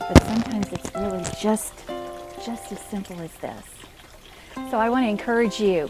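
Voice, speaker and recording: A woman speaks in a gentle tone with long, frequent pauses as music plays in the background. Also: medium pitch for a woman, ordinary pitch variation, moderate pace. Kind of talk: devotional talk to camera. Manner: soft-spoken, gentle.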